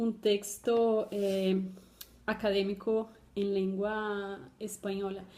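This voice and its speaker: A woman's fairly high, dark, mellow voice in a Colombian accent, monotone and flat in intonation. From Brazil. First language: Portuguese (speaking Spanish). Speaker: doctoral student. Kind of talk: personal testimony for a class video. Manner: halting, many fillers.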